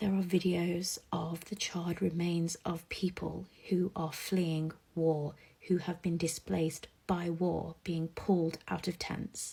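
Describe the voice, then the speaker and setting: This voice is soft-spoken. The pace is very slow. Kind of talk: social media appeal.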